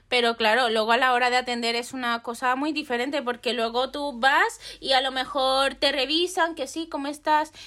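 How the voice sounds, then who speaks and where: A woman speaks in a high, bright, sharp voice that is raised and projected, with fairly even intonation and hardly any pauses at a moderate pace. The recording is very clean with a silent background. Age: 20s. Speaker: photographer. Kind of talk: casual chat.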